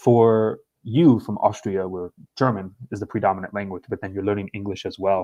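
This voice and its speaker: Speaking with an American accent, a man has a fairly low pitch and a dark, mellow tone. His pace is fairly quick. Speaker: podcast host. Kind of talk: casual interview.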